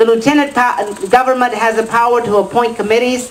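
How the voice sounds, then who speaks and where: Amid noticeable background noise and audible room echo, a woman with an American accent talks at a high pitch and a fairly quick pace. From West Texas. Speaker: political candidate. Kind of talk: campaign speech. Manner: impassioned.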